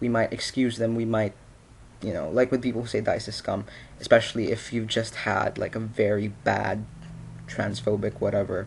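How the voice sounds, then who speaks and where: A man speaks at a medium pitch and a moderate pace. His delivery is flat and monotone, with vocal fry. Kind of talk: casual opinion vlog to camera. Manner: stuttering, rambling; frequent filler 'you know'.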